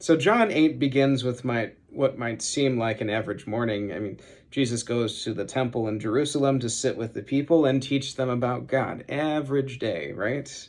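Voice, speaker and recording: A man's unremarkable speaking voice, medium in pitch, at a moderate pace with ordinary pitch variation and hardly any pauses. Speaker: seminary student preaching. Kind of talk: sermon.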